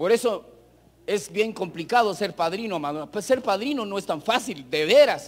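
The delivery is fairly slow, with lively intonation. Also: man, high pitch for a man. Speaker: preacher. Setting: church with congregation, broadcast on radio. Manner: earnest, exhorting, direct appeals to 'amados hermanos' with rhetorical questions; measured, pausing to repeat phrases for emphasis. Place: hall.

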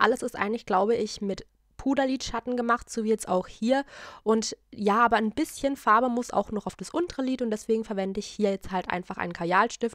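Over a quiet background, a woman talks fairly quickly with fairly even intonation, the sound dry and without echo. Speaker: beauty vlogger. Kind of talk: tutorial.

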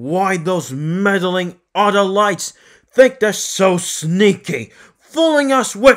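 A loud, put-on character voice at a middle pitch moves at a very slow pace. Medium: role play. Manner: loud, angry shouting.

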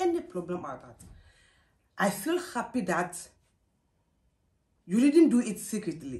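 A woman with a Ghanaian accent, dark, mellow, somewhat breathy tone, moderate pace and very wide pitch swings. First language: Twi. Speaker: mother answering daughter's questions. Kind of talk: interview answer. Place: home room. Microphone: camera far.

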